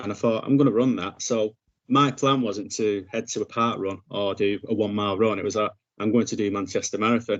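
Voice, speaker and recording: With a northern English accent, the speaker talks at a fairly quick pace with fairly even intonation. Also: man, fairly low pitch for a man. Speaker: podcast host. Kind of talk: podcast interview.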